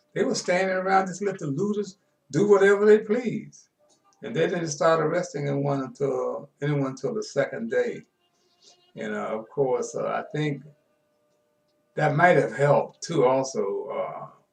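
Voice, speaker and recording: Over music in the background, a man talks at a moderate pace with long, frequent pauses. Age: 70s. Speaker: sports show host. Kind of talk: casual storytelling monologue. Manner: halting, many fillers.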